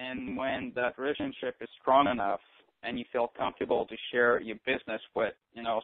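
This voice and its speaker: With a non-native accent, a man talks at a medium pitch. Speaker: network marketing leader. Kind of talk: conference call interview.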